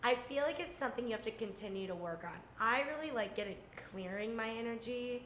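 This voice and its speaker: Against noticeable background noise, a woman with a fairly high voice talks very fast with ordinary pitch variation. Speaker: guest. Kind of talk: casual chat.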